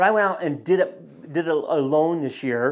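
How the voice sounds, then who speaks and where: A plain, everyday voice from a man at a moderate pace, with ordinary pitch variation and a quiet background. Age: 60s. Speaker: fitness vlogger training for a triathlon. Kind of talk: casual vlog update. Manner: relaxed, conversational with fillers.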